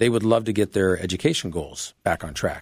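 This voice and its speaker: A man with a normal speaking voice, fairly low in pitch, at a moderate pace with ordinary pitch variation, in a very clean recording against a silent background. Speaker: Marine veteran, foundation founder. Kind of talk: radio interview.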